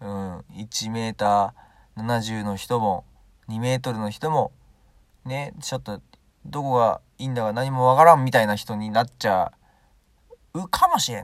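Recorded very cleanly over a silent background, a man with a medium-pitched voice speaks at a moderate pace with ordinary pitch variation, big swings in loudness, and long, frequent pauses. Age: 20s. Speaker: solo podcaster. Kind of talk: casual monologue. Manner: halting.

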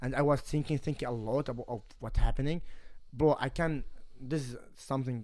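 A man with an Arabic accent speaks at a fairly quick pace in a medium pitch, his intonation fairly even, on a very clean recording with a silent background. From Kuwait. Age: 20s. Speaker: MMA fighter. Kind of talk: casual chat. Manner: halting.

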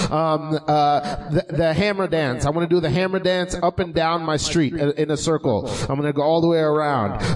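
A man with an American accent talks at a moderate pace with fairly even intonation, very even loudness and hardly any pauses. Noticeable background noise runs under his voice. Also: fairly high pitch for a man. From Haitian family, US. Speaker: comedy podcast co-host. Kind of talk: live comedy talk show. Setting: stage with audience.

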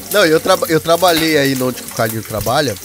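An animated tone with ordinary pitch variation against noticeable background noise. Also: man. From Paraná, southern Brazil. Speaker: podcaster, former factory worker in Japan. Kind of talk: casual chat. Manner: animated, slangy.

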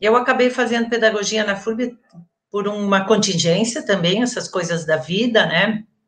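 Somewhat breathy and moderately paced, this speech shows ordinary pitch variation. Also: woman, medium pitch for a woman. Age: 50s. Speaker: retired education professor. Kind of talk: interview. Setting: online live stream.

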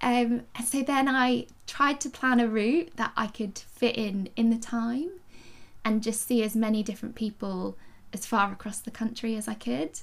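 A woman talks with vocal fry and fairly even intonation. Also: fairly high pitch for a woman, moderate pace.

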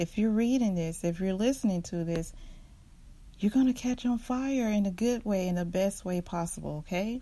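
On a very clean recording with a silent background, a woman with a medium pitch and a dark, mellow tone speaks at a moderate pace, somewhat breathy, with ordinary pitch variation. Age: 40s. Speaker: podcast host. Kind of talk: preacher-style faith sermon in a solo podcast, exhorting listeners not to bend. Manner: fervent, rousing and repetitive, hammering short phrases like a pulpit call; casual with fillers and chuckles.

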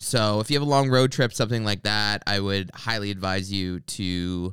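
On a very clean recording with a silent background, a man talks at a moderate pace in a normal speaking voice with fairly low pitch. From Canada. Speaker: comedian and podcast host. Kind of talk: casual chat; podcast promo read.

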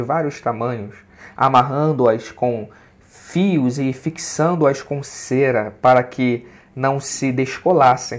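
A man's fairly high-pitched voice at a very slow pace, with ordinary pitch variation over a quiet background. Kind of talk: preacher-style sermon, devotional teaching with scripture and poetry. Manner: unhurried, earnest, preacher-like and didactic, explaining with emphasis.

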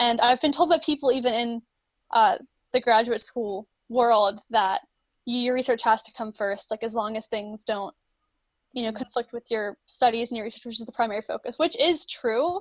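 With an American accent, a woman in an ordinary speaking voice talks at a moderate pace and a fairly high pitch, showing ordinary pitch variation and big swings in loudness. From Florida. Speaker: marine science student. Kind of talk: casual chat.

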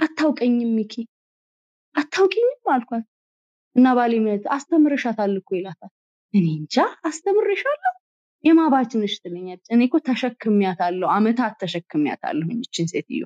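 A woman's high voice, dark and mellow in tone, with very wide pitch swings and a dry, close sound with no echo. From Ethiopia, Addis Ababa. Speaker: architect and interior designer. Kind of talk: interview.

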